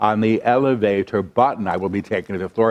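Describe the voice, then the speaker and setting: A man with a fairly low pitch and ordinary pitch variation has an unremarkable speaking voice. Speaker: spiritual channel. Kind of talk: channeled spiritual lecture.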